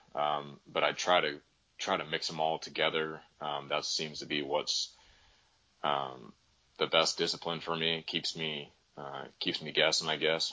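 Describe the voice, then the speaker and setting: Vocal fry runs through a monotone, flat intonation. The moderate pace is broken by long, frequent pauses. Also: man, very deep, low pitch for a man. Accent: American. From Northern California. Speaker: hunter. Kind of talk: casual chat.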